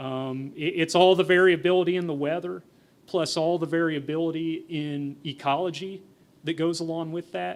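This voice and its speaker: Here a man speaks at a moderate pace with high pitch. His intonation is monotone and flat. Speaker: entomologist giving a presentation. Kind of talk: conference presentation with Q&A. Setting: forum stage with audience. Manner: mumbling; conversational, with fillers and repetitions.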